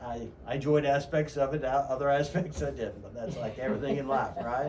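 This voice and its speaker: Over noticeable background noise and audible room echo, a man talks at a fairly quick pace in a fairly high pitch with ordinary pitch variation. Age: 50s. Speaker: radio host and real estate agent. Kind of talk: radio interview. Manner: halting, many fillers.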